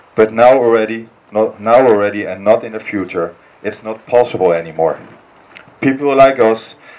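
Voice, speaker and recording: A man with a Dutch accent talks at medium pitch and a moderate pace, his intonation fairly even. Noticeable background noise runs through the clip. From Netherlands. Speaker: political activist. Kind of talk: political speech. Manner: halting.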